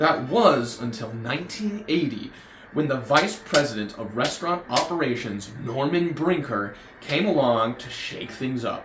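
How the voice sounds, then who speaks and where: Amid audible room echo and noticeable background noise, a man with an American accent and a fairly high pitch speaks at a fairly slow pace with lively intonation. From United States. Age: 20s. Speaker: YouTuber, fast food reviewer. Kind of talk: scripted commentary video.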